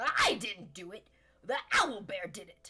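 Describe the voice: A female-sounding voice performs a raspy put-on character voice. The pace is fairly slow.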